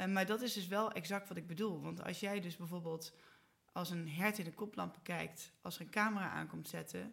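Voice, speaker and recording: A woman speaks at a moderate pace with vocal fry, a fairly low pitch, and fairly even intonation. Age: 40s. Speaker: marketing entrepreneur. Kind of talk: casual interview. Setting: studio, at a table.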